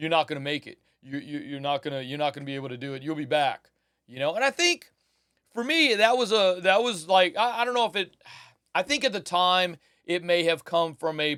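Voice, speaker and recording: Speaking with an American accent at a fairly quick pace, a man with high pitch and a bright, sharp tone uses lively intonation and big swings in loudness, the sound dry and close with no echo on a very clean recording with a silent background. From US South, South Louisiana fishing village. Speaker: recording engineer and teacher. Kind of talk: casual vlog monologue. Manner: casual, repetitive with many restarts.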